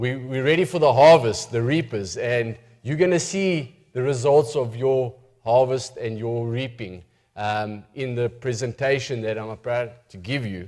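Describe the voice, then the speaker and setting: A man with a South African accent, medium pitch, a fairly slow pace and big swings in loudness. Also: ordinary pitch variation. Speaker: missionary preacher. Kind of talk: church presentation. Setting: church with audience.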